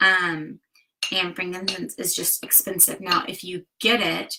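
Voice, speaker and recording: A woman with an American accent, medium pitch, fairly slow pace and fairly even intonation. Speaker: DIY and wellness vlogger. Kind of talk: tutorial. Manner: casual with frequent fillers.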